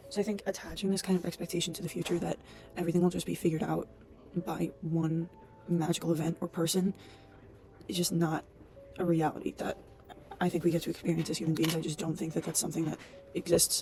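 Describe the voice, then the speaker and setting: Over music in the background, a woman talks at a fairly low pitch and a very fast pace. Her intonation is monotone and flat, broken by long, frequent pauses. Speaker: vlogger and aspiring writer. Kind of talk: casual vlog monologue. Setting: public study space. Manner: soft-spoken. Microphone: laptop mic.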